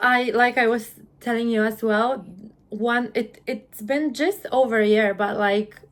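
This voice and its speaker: In a Polish accent, a woman speaks fairly slowly at a fairly high pitch. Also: fairly even intonation. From Poland. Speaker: UGC content creator. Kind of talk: interview.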